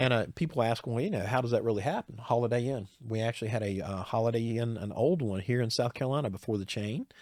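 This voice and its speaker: A man speaks at a very fast pace with hardly any pauses, his medium-pitched voice captured in a very clean recording against a silent background. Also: ordinary pitch variation. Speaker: trademark attorney. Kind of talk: interview. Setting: studio.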